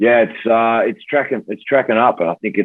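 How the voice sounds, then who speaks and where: Fairly even intonation marks this man's speech in an Australian accent. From Australia, Tamworth, New South Wales. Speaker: pro rugby player. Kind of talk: podcast interview.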